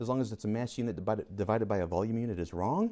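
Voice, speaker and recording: A man's very fast, fairly low-pitched delivery with a dark, mellow tone. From US, Rochester, New York; New York. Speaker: chemistry teacher. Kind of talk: lecture. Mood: playful, jokey. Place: classroom.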